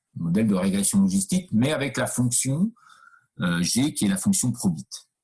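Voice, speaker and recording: Speaking at a moderate pace, a man has a fairly low pitch and a dark, mellow tone. His voice is somewhat breathy and moves through very wide pitch swings. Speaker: university lecturer. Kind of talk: lecture. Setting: video call. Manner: hesitant, many fillers.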